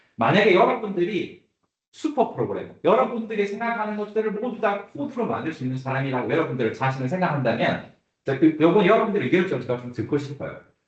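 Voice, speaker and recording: Over audible room echo, a man with a high pitch talks at a very fast pace, his pitch swinging very widely. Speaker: AI instructor. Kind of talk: lecture.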